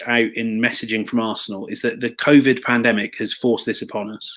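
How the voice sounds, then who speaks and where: Using an unremarkable speaking voice, a man talks at a medium pitch with fairly even intonation. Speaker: football commentator guest. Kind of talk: interview answer.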